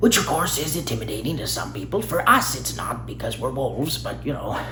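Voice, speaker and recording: A man speaks in a put-on character voice at a fairly quick pace over loud background noise. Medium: solo performance. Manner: talkative, rambling.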